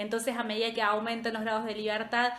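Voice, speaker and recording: A woman with a Rioplatense accent and a fairly high pitch, amid audible room echo. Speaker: statistics tutor. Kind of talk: live review class. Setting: Instagram livestream. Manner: casual, chatty.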